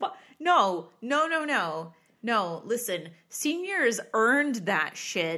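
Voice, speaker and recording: An animated woman with an American accent, fairly high pitch, a bright, sharp tone and very wide pitch swings, over a quiet background. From Rochester, New York area, US. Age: 30s. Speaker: podcast co-host. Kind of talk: casual chat. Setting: home recording studio. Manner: animated, frequent laughter.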